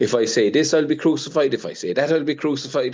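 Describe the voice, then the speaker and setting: A man talks very fast in a fairly high voice. The background is quiet. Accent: Irish. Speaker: fishing industry representative. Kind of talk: panel discussion. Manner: animated.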